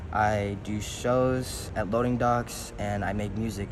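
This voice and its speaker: A man speaks fairly slowly in a fairly low pitch with an American accent and monotone, flat intonation, with audible room echo and noticeable background noise. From US, Detroit and Baton Rouge, Louisiana. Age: young (18). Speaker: rapper and musician. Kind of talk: interview. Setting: indoors in a large building.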